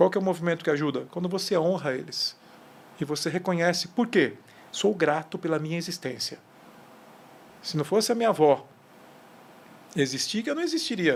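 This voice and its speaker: A man with a high pitch and ordinary pitch variation talks at a fairly quick pace. Long, frequent pauses break up his speech. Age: 50s. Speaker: leadership mentor and CEO. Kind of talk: podcast interview.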